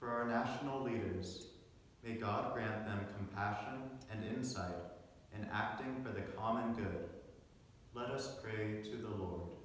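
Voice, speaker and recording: The voice comes at a fairly slow pace with strong room echo and light background noise. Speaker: lector and congregation responder at mass. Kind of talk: scripture reading aloud and liturgical responses. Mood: solemn, calm. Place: church.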